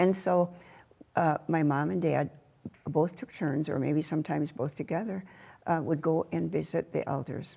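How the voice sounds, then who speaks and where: A woman's very deep, low voice with an American accent, dark and mellow with vocal fry, at a moderate pace with ordinary pitch variation. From Minnesota, US (born on an Ojibwe reservation). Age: 80s+. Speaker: community elder and activist. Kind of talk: interview. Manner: halting.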